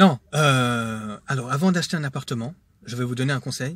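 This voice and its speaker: On a very clean recording with a silent background, a man with a medium pitch and a somewhat breathy voice talks at a moderate pace with ordinary pitch variation. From Switzerland, Geneva. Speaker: vlogger. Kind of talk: casual monologue vlog. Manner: hesitant, many fillers.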